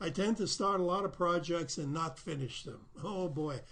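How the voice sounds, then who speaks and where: A man talks with ordinary pitch variation while audible room echo hangs in the space. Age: 80s+. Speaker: self-help teacher and healer. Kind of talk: video Q&A answering viewer letters. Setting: recorded video in front of his painting. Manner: casual, hesitant with frequent fillers.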